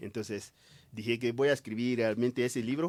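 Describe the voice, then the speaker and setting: Over a silent background in a very clean recording, a man speaks at a medium pitch with fairly even intonation. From Ivory Coast. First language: French (speaking Spanish). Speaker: writer. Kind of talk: interview. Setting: radio studio. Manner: halting.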